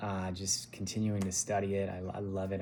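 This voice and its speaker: A man with a Californian accent speaks in a dark, mellow tone. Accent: General American (Californian). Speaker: massage therapist. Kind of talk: interview answers, casual. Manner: halting, many fillers.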